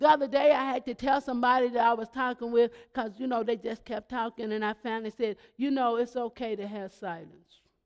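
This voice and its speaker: With an animated tone and an extremely high pitch, a man talks at a fairly quick pace with hardly any pauses. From Kentucky. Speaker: pastor. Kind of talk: sermon.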